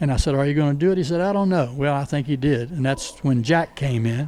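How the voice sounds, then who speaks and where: Noticeable background noise sits behind a man with an American accent. He talks at a very fast pace with a fairly high pitch and ordinary pitch variation. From Northern Virginia. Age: 80s+. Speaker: retired teacher and coach. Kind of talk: interview answer.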